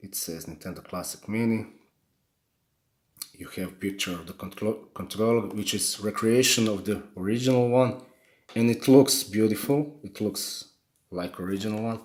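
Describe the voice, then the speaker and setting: A man with a strong non-native accent speaks in a fairly low pitch with ordinary pitch variation, big swings in loudness, and long, frequent pauses. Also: moderate pace. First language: not English. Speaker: gaming YouTuber. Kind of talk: unboxing video. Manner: halting, many repetitions.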